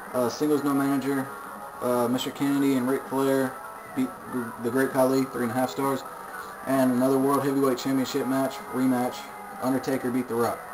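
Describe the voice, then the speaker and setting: A man's medium-pitched, monotone, flat delivery at a fairly quick pace, broken by long, frequent pauses, with music in the background. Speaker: video game commentator. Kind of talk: casual game results recap. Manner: fast.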